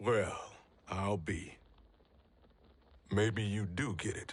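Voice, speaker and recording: A man's raspy, put-on character voice, fairly low in pitch, very slow and fairly even in intonation. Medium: video game. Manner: blunt, gruff, plain-spoken.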